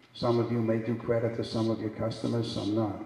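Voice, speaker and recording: Moderate pace and a middle pitch from a man, plus noticeable background noise and audible echo in the room. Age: 70s. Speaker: keynote speaker, business executive. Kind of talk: keynote speech. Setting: stage with audience. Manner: repetitive, halting.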